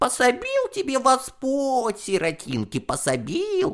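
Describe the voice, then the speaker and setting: A put-on character voice moves along at a fairly slow pace. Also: man, extremely high pitch for a man. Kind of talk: rural folk speech. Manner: mimicking, mocking, sing-song pious.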